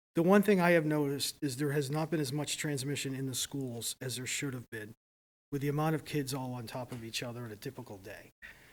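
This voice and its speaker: Speaking at a very fast pace, a man has a fairly high pitch and ordinary pitch variation. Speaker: public health official. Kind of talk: public meeting discussion. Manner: loud.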